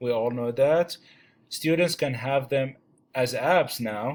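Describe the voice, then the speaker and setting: A man at medium pitch with a non-native accent, fairly slow and with ordinary pitch variation, on a very clean recording with a silent background. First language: not English. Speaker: student teacher presenting a chapter. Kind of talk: class presentation. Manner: halting, many fillers.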